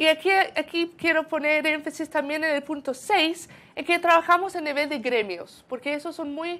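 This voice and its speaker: With a South African accent, a woman projects a raised voice at a moderate pace, her intonation fairly even. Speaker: sustainability consultant at a university centre. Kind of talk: conference presentation. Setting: event with audience. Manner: halting, many repetitions.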